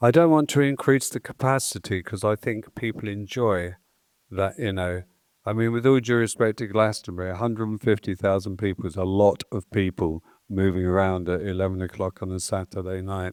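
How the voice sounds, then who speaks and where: Speaking at a fairly quick pace, a man with an English accent has a fairly low pitch, recorded with a dry, close sound and no echo. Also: ordinary pitch variation. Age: 70s. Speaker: festival promoter. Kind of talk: interview. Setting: stage with audience.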